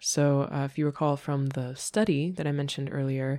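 A woman speaks with a very deep, low pitch and a dark, mellow tone at a moderate pace. The recording is very clean, with a silent background. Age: 20s. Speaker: podcast host. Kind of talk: casual chat.

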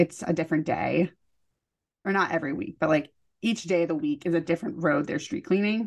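With lively intonation, a woman talks at a fairly quick pace in a fairly low-pitched voice. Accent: Californian. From California. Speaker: podcast co-host. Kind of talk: casual chat.

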